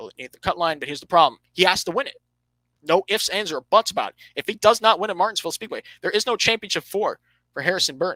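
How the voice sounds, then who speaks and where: The speech moves at a very fast pace. The sound is dry and close, with no echo. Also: man. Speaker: motorsport podcast host. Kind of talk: solo podcast commentary. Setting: livestream.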